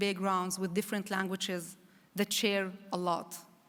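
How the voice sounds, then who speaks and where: A woman speaks with an Arabic accent at a medium pitch. Her recording is very clean, with a silent background. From Israel, Druze village of Daliat el Carmel. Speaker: public diplomacy envoy, former journalist. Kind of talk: conference speech.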